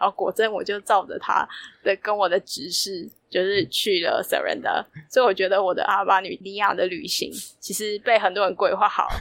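A woman talks at a moderate pace, her sound dry and close with no echo. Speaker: traveler. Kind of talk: casual interview.

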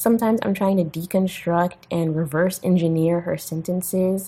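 Speaks with an American accent at a fairly slow pace. An ordinary speaking voice. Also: woman. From US. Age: 20s. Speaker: graduate student. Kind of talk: recorded voice message.

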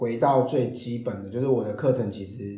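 The tone is dark and mellow, and somewhat breathy. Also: man. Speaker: storyteller and presentation trainer, HR worker. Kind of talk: interview.

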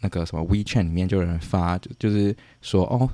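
A man speaks at a fairly quick pace with fairly even intonation. The recording is dry and close, with no echo. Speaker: podcast host, student abroad. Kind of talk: casual chat.

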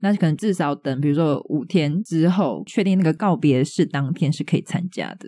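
Against a quiet background, a woman with a Taiwanese accent speaks in a dark, mellow tone at fairly low pitch and moderate pace, with hardly any pauses. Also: ordinary pitch variation. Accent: Taiwanese Mandarin. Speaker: podcast co-host. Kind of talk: casual chat.

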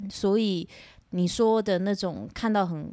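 Over a very clean recording with a silent background, an ordinary speaking voice moves at a fairly slow pace with ordinary pitch variation. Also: woman. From Taiwan, northern coast (Shimen). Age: 20s. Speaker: temple family daughter, TV station employee. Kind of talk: casual interview.

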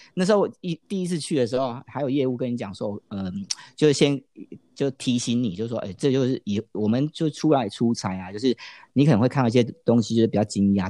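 Against a quiet background with a dry, close sound and no echo, a man with a Taiwanese accent speaks very fast in a dark, mellow, medium-pitched tone with ordinary pitch variation. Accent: clear Taiwanese Mandarin. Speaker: business professional who worked in mainland China. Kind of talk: casual chat.

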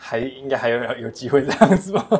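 This man has a strong Taiwanese accent. His pitch sits in the medium range. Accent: Taiwanese Mandarin, strong. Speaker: aquaculture shrimp farmer. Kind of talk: casual interview.

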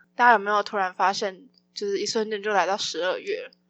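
A woman talks at a moderate speed with music in the background. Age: 20s. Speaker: podcast host and student. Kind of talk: casual solo podcast announcement.

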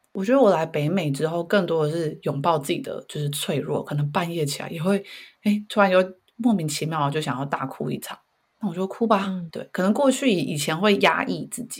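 With lively intonation and a somewhat breathy sound, a woman speaks at a fairly quick pace and a fairly low pitch, on a very clean recording with a silent background. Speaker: career coach, parent. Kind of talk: casual chat.

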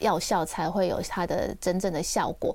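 A woman's medium-pitched voice at a fairly slow pace, on a very clean recording with a silent background. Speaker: dermatologist and author. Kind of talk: radio interview. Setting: radio studio, also streamed live. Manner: gentle, soft-spoken.

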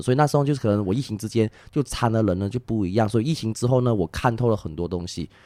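Talking at a very fast pace, a man with a slight Malaysian accent has a dark, mellow tone. The recording is very clean, with a silent background. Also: hardly any pauses. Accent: Malaysian Chinese Mandarin, mild. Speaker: tour guide. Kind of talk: casual chat. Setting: recorded in Malaysia.

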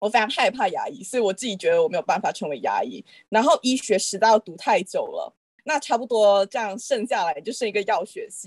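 Speaking in a normal speaking voice at a fairly quick pace, a woman with a fairly high pitch uses lively intonation and big swings in loudness, the sound dry and close with no echo against a quiet background. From Malaysia. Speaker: pharmacy graduate. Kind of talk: casual chat.

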